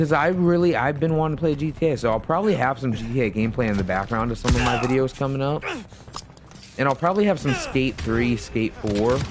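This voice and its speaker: Against noticeable background noise, a man speaks at a very fast pace in a medium pitch with lively intonation. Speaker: gaming streamer. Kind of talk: casual chat. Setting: live stream. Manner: halting. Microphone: new USB mic.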